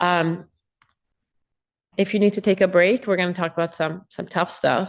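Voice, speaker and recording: Soft-spoken, a woman talks at a moderate pace and medium pitch against a quiet background. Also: ordinary pitch variation. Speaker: prosecutor. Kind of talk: courtroom examination. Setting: courtroom. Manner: hesitant, many filler words.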